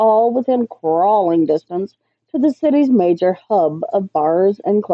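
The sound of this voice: Lively intonation shapes an unforced reading voice. Behind it, the background is quiet.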